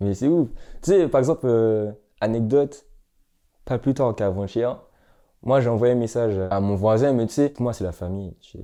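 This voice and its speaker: A man with a Martinican accent, medium pitch, dark, mellow tone and ordinary pitch variation, at a moderate pace with long, frequent pauses over a quiet background. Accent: Antillean (Martinican) French. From Martinique. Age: 20s. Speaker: film student and actor. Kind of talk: documentary interview. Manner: animated.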